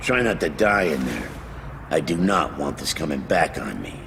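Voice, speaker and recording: Putting on a gruff character voice with a very deep, low pitch, a man speaks at a moderate pace over loud background noise. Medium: video game. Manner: gruff, rude, blunt.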